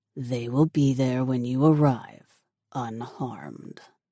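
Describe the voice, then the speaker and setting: The speaker uses a put-on character voice with a low-to-middle pitch. The pace is fairly slow. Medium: read story. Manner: commanding, curt.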